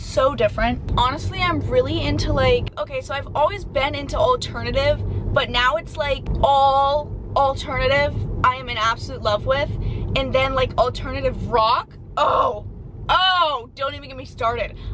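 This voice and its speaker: Through noticeable background noise, a woman speaks at a moderate pace with big swings in loudness. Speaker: vlogger. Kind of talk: casual vlog chat. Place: car. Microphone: phone near.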